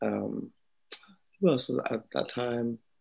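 The speaker has a London accent. The pace is fairly slow. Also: man. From Slough, England. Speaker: singer-songwriter. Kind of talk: interview.

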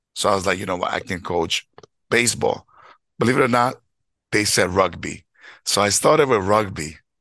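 A man with a New York accent speaks in a fairly low pitch and a bright, sharp tone, with ordinary pitch variation. He leaves long, frequent pauses against a quiet background. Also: moderate pace. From New York, Bronx. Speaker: high school baseball coach. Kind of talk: casual chat.

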